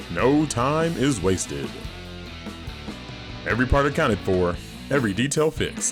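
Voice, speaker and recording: Over music in the background, a man's pitch swings very widely. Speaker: voice actor. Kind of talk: TV commercial read.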